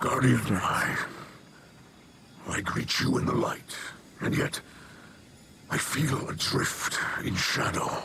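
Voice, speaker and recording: A man puts on a character voice at a medium pitch. He goes at a fairly slow pace over clear background noise. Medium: game stream. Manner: grave, solemn.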